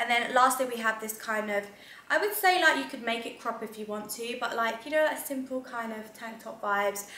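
A woman speaks at a moderate pace with a high pitch. Audible room echo surrounds her voice. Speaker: lifestyle vlogger. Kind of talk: casual vlog chat. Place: home room. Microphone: camera far.

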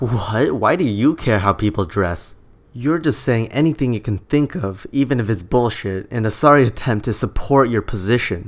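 Moderate in pace, this man has a plain, everyday voice. His medium pitch carries lively intonation. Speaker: YouTube commentator. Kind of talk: commentary video, casual talk to camera. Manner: sarcastic, critical.

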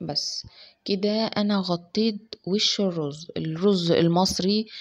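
A woman's voice with fairly even intonation over a quiet background. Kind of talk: cooking tutorial. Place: kitchen. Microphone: phone near.

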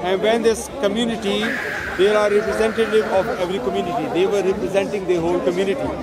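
The speech moves at a fairly quick pace. There is loud background noise, and the sound is dry with no echo. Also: man. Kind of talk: heated debate. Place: open country.

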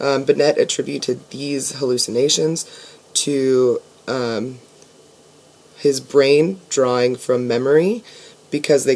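A woman's voice, very deep and low in pitch for a woman. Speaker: student. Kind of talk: academic class presentation. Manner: hesitant, stammering, many fillers. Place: home room. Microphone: webcam.

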